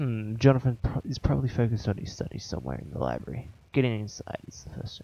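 A man speaks very fast in a dark, mellow, somewhat breathy tone. His pitch swings very widely and his loudness rises and falls by large amounts. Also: medium pitch for a man. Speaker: gaming YouTuber. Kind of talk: gameplay commentary. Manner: casual, joking, frustrated.

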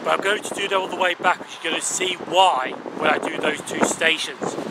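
A man speaks at a fairly quick pace in a dry sound with no echo. Loud background noise runs underneath. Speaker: railway vlogger. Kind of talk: casual vlog chat. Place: station. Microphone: phone near.

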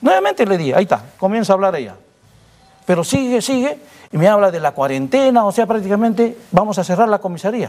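This man speaks at a very fast pace in a high pitch. His intonation is lively. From Peru. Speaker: police colonel; interviewee. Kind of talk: interview. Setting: studio. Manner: halting. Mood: defensive, explaining his side. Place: studio. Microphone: lapel.

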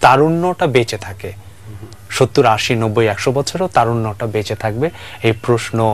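Speaking with lively intonation, a man keeps a medium pitch. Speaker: astronomy association secretary. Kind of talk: TV talk show interview. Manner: halting.

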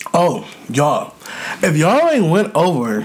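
The man's delivery moves at a fairly slow speed. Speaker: mukbang youtuber. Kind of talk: casual vlog chat. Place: home room.

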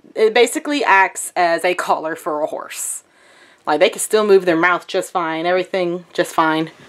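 A woman with an American accent, medium pitch and ordinary pitch variation. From US South. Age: 20s. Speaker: vlogger. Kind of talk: casual vlog. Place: home room. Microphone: phone near.

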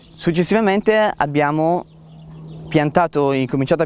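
A man with an unremarkable speaking voice talks at a fairly slow pace with lively intonation. The sound is dry and close, with no echo. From Piedmont, Italy. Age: 20s. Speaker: winemaker. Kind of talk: interview monologue.

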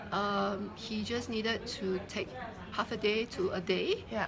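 Against noticeable background noise, a woman speaks at a fairly slow pace with fairly even intonation. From Singapore. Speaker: entrepreneur and author. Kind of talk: interview testimony. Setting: live stream. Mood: earnest, reflective. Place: shop. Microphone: phone near.

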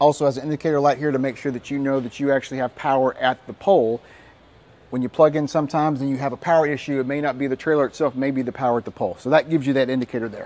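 A man's very fast delivery with fairly even intonation. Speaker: RV salesperson. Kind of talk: product walkthrough presentation. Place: hall. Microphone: lapel.

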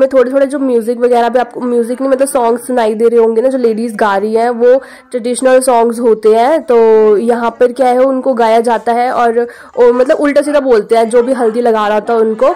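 A woman's high-pitched voice holds a flat, monotone intonation as she talks at a moderate pace. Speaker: vlogger; vlogger guest at the wedding. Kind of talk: vlog narration. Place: home room. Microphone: phone near.

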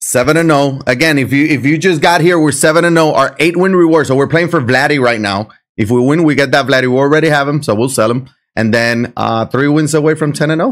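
A man with a Puerto Rican accent talks at a very fast pace and a fairly high pitch. His loudness stays very even, his pitch varies in an ordinary way, and the background is quiet. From Puerto Rico. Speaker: video game streamer. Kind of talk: live gameplay commentary. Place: home room.

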